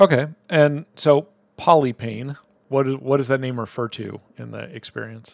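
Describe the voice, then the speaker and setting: Delivered at a moderate pace with ordinary pitch variation, a plain, everyday voice shows big swings in loudness. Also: man, medium pitch for a man. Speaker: developer advocate. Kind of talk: casual interview.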